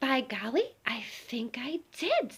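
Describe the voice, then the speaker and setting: This woman uses a put-on character voice. Her pitch is high. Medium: read story. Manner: brash.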